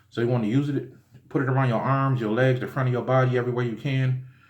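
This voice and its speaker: Audible room echo surrounds a man speaking fairly quickly at a medium pitch. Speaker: spiritual teacher. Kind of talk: tutorial. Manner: fast; casual, with many fillers.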